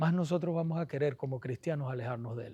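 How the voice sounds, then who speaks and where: A soft-spoken man at a moderate pace over a quiet background. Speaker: pastor teaching a Bible study class. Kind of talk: Bible study lecture.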